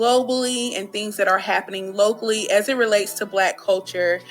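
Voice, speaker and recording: Over music in the background, the speech moves at a moderate pace with ordinary pitch variation. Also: woman. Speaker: radio host. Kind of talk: radio interview.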